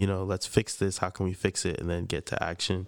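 A man speaks quietly in a very deep, low voice with a New York accent. His intonation is flat and monotone, and the recording is very clean with a silent background. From Freeport, Long Island, New York. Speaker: podcast co-host. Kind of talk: casual chat. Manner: quiet, reserved.

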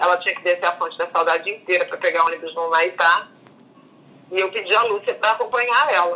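Talking at a very fast pace, a woman has a fairly low pitch. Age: 50s. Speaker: journalist. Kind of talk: interview.

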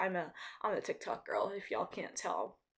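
A woman at a fairly quick pace. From Nigeria, moved to US (Georgia) as child. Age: first-year college student, under 20s. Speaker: podcast host, college student. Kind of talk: casual solo monologue.

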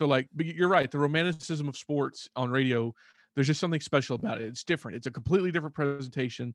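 A man in a Texan accent, fairly high-pitched and very fast, with ordinary pitch variation and a dry, close sound with no echo. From Texas, Fort Worth area. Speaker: baseball prospect writer and sports radio host. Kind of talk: casual chat.

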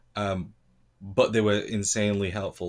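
The recording is very clean, with a silent background. A man speaks at fairly low pitch with fairly even intonation. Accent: British. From Britain. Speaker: former English teacher abroad. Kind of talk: casual chat.

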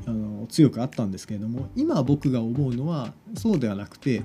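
A man talks at a fairly quick pace and medium pitch. Background noise is noticeable. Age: 30s. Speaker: podcast host and web director. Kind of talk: solo monologue. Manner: hesitant, many fillers.

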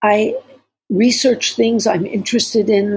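The tone is dark and mellow. Vocal fry runs through it. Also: woman. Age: 70s. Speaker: therapist and podcast co-host. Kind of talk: casual chat.

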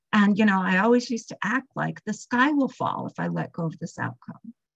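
There is vocal fry in this woman's voice, heard in a dry, close sound with no echo. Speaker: recovery meeting speaker. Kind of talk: recovery testimony. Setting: video call.

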